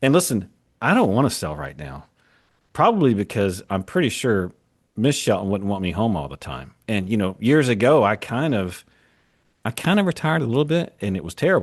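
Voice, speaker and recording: Against a quiet background, a man talks at a fairly quick pace and fairly low pitch, with vocal fry and very wide pitch swings. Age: 50s. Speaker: business owner, podcast co-host. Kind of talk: casual chat.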